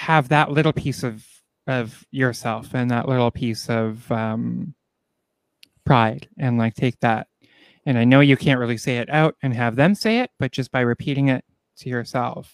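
A man with an ordinary speaking voice talks at a medium pitch with ordinary pitch variation, in a dry, close sound with no echo. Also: moderate pace, very clean recording, silent background. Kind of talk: casual chat.

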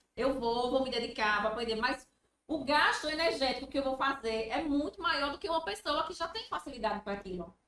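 A woman talks with high pitch and lively intonation. Her pace is fairly quick. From Brazil, Sergipe (Itabaiana). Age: 30s. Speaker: business manager and psychologist. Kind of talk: podcast interview.

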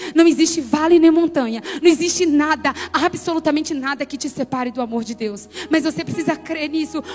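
A woman with a high pitch talks in an animated tone at a fairly quick pace, with big swings in loudness against noticeable background noise. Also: ordinary pitch variation. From Brazil, Bahia sertão (Conceição do Coité). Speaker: pastor and motivational speaker. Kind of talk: sermon.

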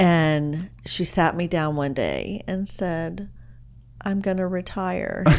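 In a Texan accent, a woman speaks at a very slow pace and fairly low pitch with ordinary pitch variation, and audible room echo surrounds her voice. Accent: Texan American. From Dallas, Texas. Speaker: real estate agent. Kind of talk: casual chat.

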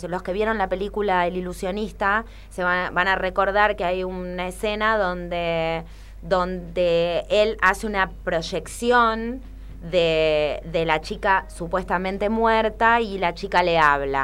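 In a very clean recording with a silent background, a woman with a plain, everyday voice speaks at a fairly slow pace, her medium pitch moving with ordinary variation. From Argentina. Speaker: magician and burlesque performer. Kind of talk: interview.

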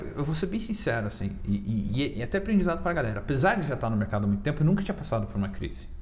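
This man speaks at a very fast pace with hardly any pauses, his medium pitch swinging very widely, with vocal fry and audible room echo. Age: 20s. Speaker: crypto investor. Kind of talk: casual chat. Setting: studio.

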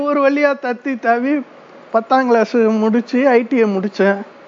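The voice has fairly even intonation against noticeable background noise. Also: man. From southern Tamil Nadu, near Aruppukottai/Virudhunagar. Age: 40s. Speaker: migrant worker telling his life story. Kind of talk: personal storytelling monologue.

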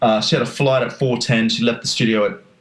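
Someone speaks at a very fast pace with an Australian accent. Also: man. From Australia, North Queensland. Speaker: podcast co-host. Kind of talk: casual chat.

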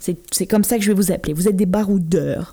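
A woman is speaking. Her tone is dark and mellow. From France. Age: 30s. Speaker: podcast host. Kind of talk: casual podcast monologue.

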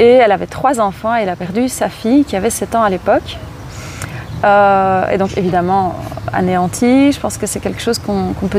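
A woman talks at a moderate pace with medium pitch and ordinary pitch variation. Noticeable background noise is present. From Belgium. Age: 30s. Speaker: charity founder, former primary school teacher. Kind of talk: interview. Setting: outdoors in a park. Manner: animated.

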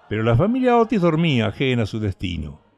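With music in the background, a man speaks at a moderate pace in a medium pitch that makes very wide swings. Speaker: audiobook narrator. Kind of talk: dramatic narration of a gothic story, read aloud. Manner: hushed, theatrical, menacing tone with suspenseful pacing.

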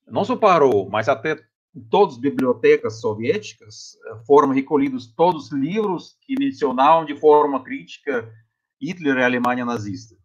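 A man with a Russian accent, fairly high pitch, lively intonation and a moderate pace. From Russia, Tomsk region (Siberia). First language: Russian (speaking Portuguese). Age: 50s. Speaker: physics professor. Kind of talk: interview testimony. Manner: halting.

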